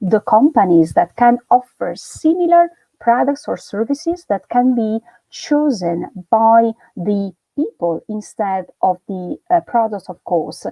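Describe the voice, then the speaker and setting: Over music in the background, a woman with an Italian accent speaks at a fairly slow pace, her fairly high pitch moving in very wide swings. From Italy. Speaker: university lecturer. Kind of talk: lecture. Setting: live stream.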